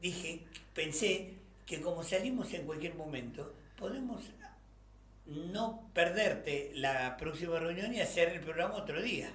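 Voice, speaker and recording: A high-pitched man at a fairly slow pace, with ordinary pitch variation and audible room echo. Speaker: radio co-host. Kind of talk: casual chat. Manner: halting.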